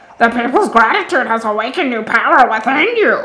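A woman puts on a character voice with very wide pitch swings. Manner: grandiose, formal.

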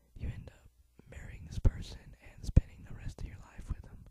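A whisper at a moderate pace. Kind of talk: ASMR whisper talk over gameplay. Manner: whispered.

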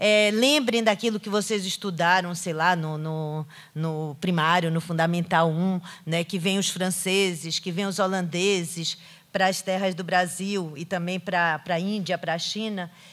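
A woman speaks at a fairly slow pace. Her fairly low voice keeps a fairly even intonation. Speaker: literature professor. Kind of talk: lecture. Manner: halting, many fillers. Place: hall. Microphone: podium.

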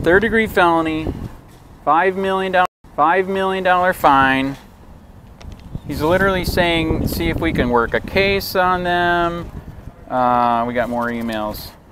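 Over noticeable background noise, a man with an American accent and a high pitch speaks at a very slow pace with lively intonation and long, frequent pauses. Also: dry sound with no echo. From Michigan. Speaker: copwatch activist filming in public. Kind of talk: street interviews with passersby. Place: street. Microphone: phone near.

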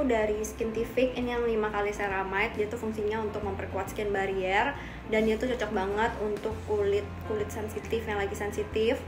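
Fairly quick speech with fairly even intonation over music in the background. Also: woman. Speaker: beauty vlogger. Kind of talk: casual vlog chat. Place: home room. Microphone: phone near.

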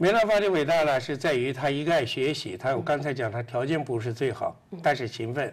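A man speaks at a fairly quick pace with hardly any pauses. His voice is fairly high, with lively intonation. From China, Yunnan. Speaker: guest. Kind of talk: interview. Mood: calm, reflective. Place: studio. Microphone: lapel.

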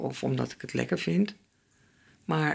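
A woman speaks with vocal fry at a fairly slow pace. The background is quiet. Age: 80s+. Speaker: relationship therapist; guest. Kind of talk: interview answer. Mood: reflective, candid. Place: home room. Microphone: studio mic.

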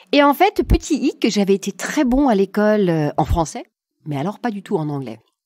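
A woman in a German accent, medium pitch, dark and mellow tone, very wide pitch swings and moderate pace, in a dry, close sound with no echo. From Germany, southwest wine region. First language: German (speaking French). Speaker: coach and negotiation consultant. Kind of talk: interview conversation.

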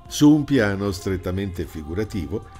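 Male speech with very wide pitch swings over music in the background. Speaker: broadcaster and documentary narrator. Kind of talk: documentary narration.

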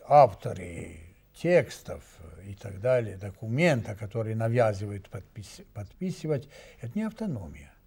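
This man speaks with a Serbian accent, his dark, mellow tone somewhat breathy and his intonation lively. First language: Serbian (speaking Russian). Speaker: ambassador; guest. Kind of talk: studio discussion; interview answer. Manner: halting. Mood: serious, indignant. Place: studio.

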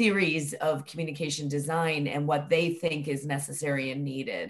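Her intonation monotone and flat, a woman speaks at a fairly slow pace. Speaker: academic researcher. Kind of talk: academic seminar discussion. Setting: video call. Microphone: video call.

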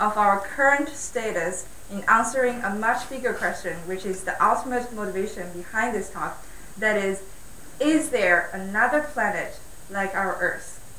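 Woman's voice with ordinary pitch variation, audible room echo, and light background noise. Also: moderate pace. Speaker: speaker. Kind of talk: lecture. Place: hall.

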